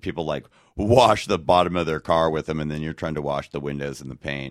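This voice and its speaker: With a Californian accent, a man speaks in a very deep, low pitch on a very clean recording with a silent background. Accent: General American (California). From Los Angeles, US West Coast. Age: 40s. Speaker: comedian, fill-in co-host. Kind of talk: casual comedic advice chat.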